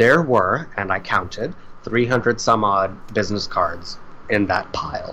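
Over noticeable background noise, a man with an American accent speaks fairly slowly at a medium pitch. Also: ordinary pitch variation. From South Florida, Indian family. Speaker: shipping and logistics worker. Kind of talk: casual interview.

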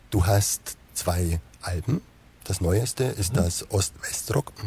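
A man's very deep, low voice with lively intonation, long and frequent pauses, and noticeable background noise. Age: 40s. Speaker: web show host. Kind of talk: interview.

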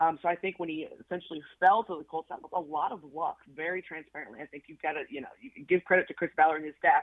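A woman with a fairly low pitch races along at a very fast pace, with hardly any pauses and big swings in loudness. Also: ordinary pitch variation. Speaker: sports journalist. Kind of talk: sports radio interview. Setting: phone call.

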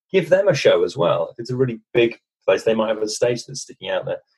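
Talking at a very fast pace, a man speaks. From UK. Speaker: communication skills coach. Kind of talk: interview.

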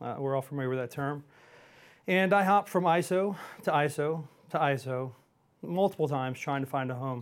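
A man with an American accent and an unremarkable speaking voice talks at a fairly quick pace, his pitch fairly high. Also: very clean recording, silent background. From Houston, Texas. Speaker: regional vice president at a payments company. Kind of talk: casual interview chat.

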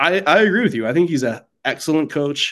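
An ordinary speaking voice from a man with an American accent, at a fairly quick pace with ordinary pitch variation. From US Midwest. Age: 30s. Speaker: sports writer. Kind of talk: casual chat.

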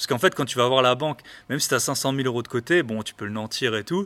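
Speaking at a very fast pace, a man with a medium pitch and a bright, sharp tone comes through on a very clean recording with a silent background. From eastern France. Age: 30s. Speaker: real estate investor, podcaster. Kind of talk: casual interview. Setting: in person. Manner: halting.

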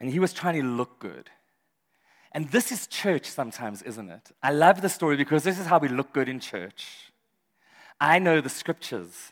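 With vocal fry and very wide pitch swings, this voice moves at a moderate pace with big swings in loudness, on a very clean recording with a silent background. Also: man, fairly high pitch for a man. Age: 40s. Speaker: pastor. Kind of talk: sermon. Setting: church service with live audience.

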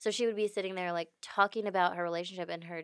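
A woman's fairly low voice carries monotone, flat intonation in a very clean recording with a silent background. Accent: American. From Houston, Texas. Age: 20s. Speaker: podcast guest, friend of host. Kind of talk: casual chat.

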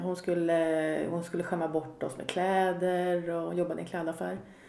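A woman speaks at a medium pitch. Both room echo and noticeable background noise can be heard. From Sweden, Katrineholm. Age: 40s. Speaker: podcast guest sharing recovery story. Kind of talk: personal testimony in casual interview. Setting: home kitchen.

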